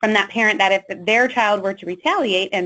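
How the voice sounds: A natural reading voice, pitch rising and falling in an ordinary way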